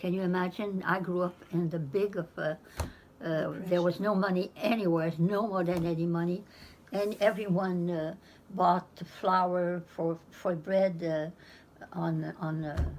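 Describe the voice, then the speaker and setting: The woman's fairly low voice stays monotone and flat. She talks at a fairly slow pace over noticeable background noise. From Pomquet, Nova Scotia. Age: 90s. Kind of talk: interview answer.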